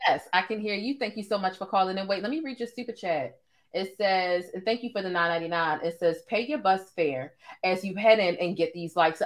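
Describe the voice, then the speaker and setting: A woman speaks at a fairly quick pace with ordinary pitch variation in a quiet background. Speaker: live stream host. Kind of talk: casual live show chat. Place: home room.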